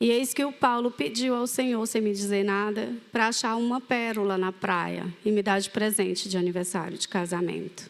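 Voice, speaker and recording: A woman speaks with a Cearense accent at a moderate pace, with hardly any pauses. Her pitch is medium with ordinary variation. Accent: Cearense (northeastern Brazilian). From Fortaleza, Ceará, northeastern Brazil. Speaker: ministry leader sharing testimony. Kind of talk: testimony. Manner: animated storytelling.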